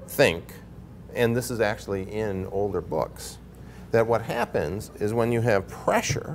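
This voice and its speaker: This man keeps a moderate pace. Behind his words, music can be heard. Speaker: presenter. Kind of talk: explanatory presenter talk. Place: hall. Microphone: lapel.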